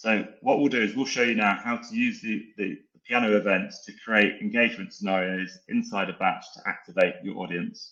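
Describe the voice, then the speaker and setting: Here a man talks at a fairly quick pace. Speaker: sales account executive. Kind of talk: product demo in a webinar. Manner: calm, relaxing.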